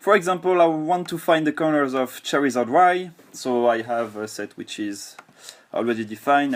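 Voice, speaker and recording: Speaking with a French accent, a man uses lively intonation at a moderate pace. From France. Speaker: software developer and gamer. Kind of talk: software tutorial. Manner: halting with fillers and repeats.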